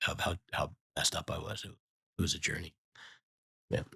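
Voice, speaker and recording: Talking at a very fast pace, a man has a bright, sharp tone in a dry, close sound with no echo. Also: very clean recording, silent background. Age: 60s. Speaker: business executive. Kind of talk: casual interview. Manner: halting, many repeated words.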